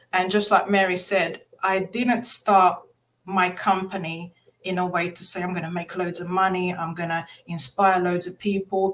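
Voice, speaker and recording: A woman with a Portuguese accent speaks at a medium pitch and a moderate pace, her intonation flat and monotone. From Mozambique. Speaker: motivational speaker and author. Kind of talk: podcast interview, personal story.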